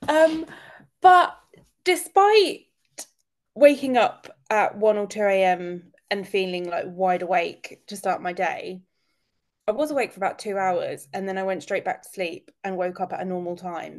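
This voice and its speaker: Her pace fairly slow, a woman talks with a British accent. Her loudness swings widely. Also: medium pitch for a woman, lively intonation. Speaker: podcast co-host. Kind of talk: casual chat. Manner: animated.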